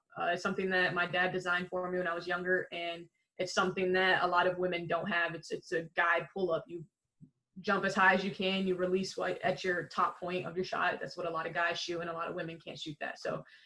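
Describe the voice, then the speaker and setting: In an American accent, a woman talks at a very fast pace with monotone, flat intonation and a bright, sharp tone. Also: fairly low pitch for a woman. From Illinois, Chicago area. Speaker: professional basketball player. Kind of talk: podcast interview. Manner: casual.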